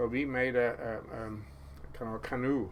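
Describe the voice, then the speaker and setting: The speaker has a Norwegian accent and uses ordinary pitch variation. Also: man. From Norway, Karmøy island. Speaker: fisherman. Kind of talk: casual chat.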